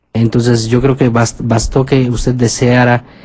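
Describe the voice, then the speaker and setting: At a fairly slow pace, a man speaks in a monotone, flat intonation at a medium pitch. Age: 40s. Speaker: priest radio host. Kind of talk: radio phone-in.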